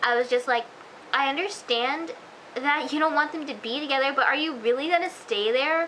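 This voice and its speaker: A woman's high-pitched, raised and projected voice amid noticeable background noise. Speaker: TV show reviewer. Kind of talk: casual video review. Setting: self-recorded on camera. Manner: hesitant, many fillers; fast.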